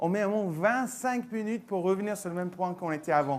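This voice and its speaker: This man has a high-pitched voice and a slight English accent. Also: very clean recording, silent background. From England. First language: English (speaking French). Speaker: tech company mobile solutions manager. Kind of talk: conference presentation. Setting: stage with audience.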